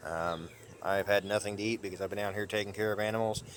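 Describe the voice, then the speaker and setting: Very fast and flat in intonation, a man speaks in a monotone at a fairly low pitch. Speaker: homesteader vlogger. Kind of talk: casual vlog talk to camera. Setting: outdoors on farm. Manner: halting with many fillers.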